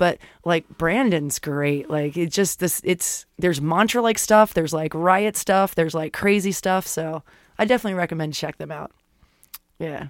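A woman with an unremarkable speaking voice and fairly low pitch talks in an American accent at a moderate pace. Her pitch varies in an ordinary way, and the sound is dry and close with no echo. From Florida. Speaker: podcast host. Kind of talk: casual chat.

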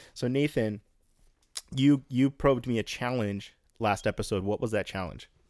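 At a moderate pace, a man talks at a medium pitch with ordinary pitch variation and long, frequent pauses, the sound dry and close with no echo. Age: 30s. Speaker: podcast co-host. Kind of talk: casual chat.

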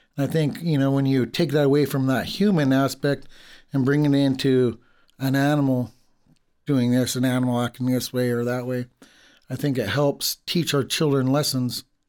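A man with an American accent talks at a moderate pace in a normal speaking voice, his pitch medium. His loudness stays very even and his intonation fairly even. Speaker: language teacher. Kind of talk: casual chat.

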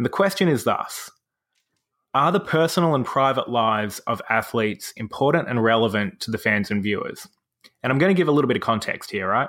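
The recording is very clean, and the background is silent. A man speaks fairly quickly, his pitch swinging very widely. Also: medium pitch for a man. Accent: Australian. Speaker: podcast host. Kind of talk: casual chat.

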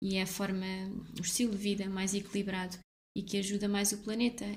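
Somewhat breathy and fairly quick, a woman talks in a monotone, flat intonation. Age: 20s. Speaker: blogger. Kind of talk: casual interview.

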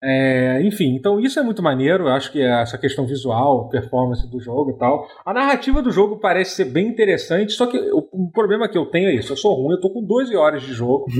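At a fairly quick pace, a man speaks in a fairly high pitch with very wide pitch swings. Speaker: podcast host. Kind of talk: casual chat.

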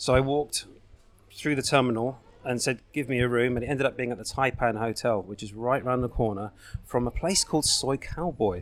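This man speaks with a southern English accent at a fairly quick pace, his medium pitch moving with ordinary variation. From southern England, Berkshire. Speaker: video production company owner. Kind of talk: casual interview. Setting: coffee shop.

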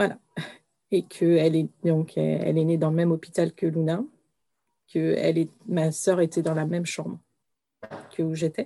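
Fairly low in pitch with a dark, mellow tone, a woman speaks at a moderate pace with fairly even intonation and long, frequent pauses, in a dry, close sound with no echo. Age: 40s. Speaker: bereaved mother. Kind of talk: testimony. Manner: halting.

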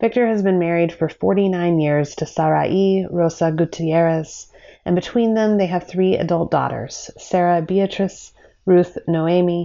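A woman's plain, everyday voice, fairly low in pitch, fairly slow and fairly even in intonation. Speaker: podcast host. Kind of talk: interview conversation. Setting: video call.

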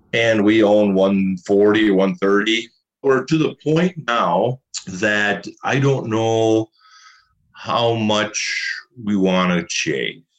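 Speaking at a very slow pace with an Upper Midwest accent, a man uses a fairly low pitch and ordinary pitch variation. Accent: Upper Midwest American. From Minnesota. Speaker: farmer. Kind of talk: interview.

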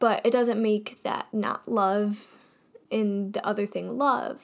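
A woman's fairly high, monotone voice with flat intonation in a very clean recording with a silent background. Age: young. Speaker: podcast host. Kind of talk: casual monologue.

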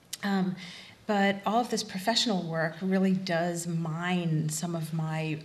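A somewhat breathy woman's voice at fairly low pitch with fairly even intonation. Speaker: refugee studies researcher and teacher. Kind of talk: panel discussion. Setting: stage with audience.

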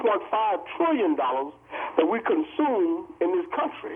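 Over noticeable background noise, a man speaks with very wide pitch swings. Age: 60s. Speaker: caller. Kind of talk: call-in commentary. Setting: phone call.

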